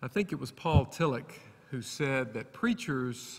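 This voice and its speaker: Speaking in an Alabama accent at a fairly slow pace, a man uses lively intonation and a bright, sharp tone. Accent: Southern US (Alabama). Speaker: preacher. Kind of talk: sermon. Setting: church.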